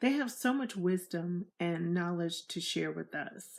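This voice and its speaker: Woman's normal speaking voice with lively intonation on a very clean recording with a silent background. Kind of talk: interview questions.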